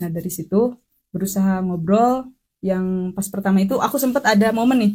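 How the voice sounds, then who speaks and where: A woman talks at a fairly quick pace. Her tone is dark, mellow and somewhat breathy. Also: medium pitch for a woman, ordinary pitch variation. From West Java, Sundanese. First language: Sundanese (speaking Indonesian). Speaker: podcast guest. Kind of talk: casual chat.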